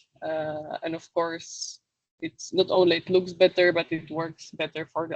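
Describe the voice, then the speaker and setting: A woman talks at a moderate pace with a non-native accent. Her pitch is fairly low. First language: not English. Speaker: webinar presenter on social media. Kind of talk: webinar presentation. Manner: halting, many fillers.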